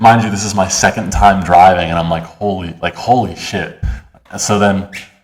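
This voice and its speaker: With noticeable background noise behind him, a man speaks in a very deep, low pitch, keeping a moderate pace and fairly even intonation. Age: 20s. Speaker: college student. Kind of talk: casual chat. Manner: many fillers.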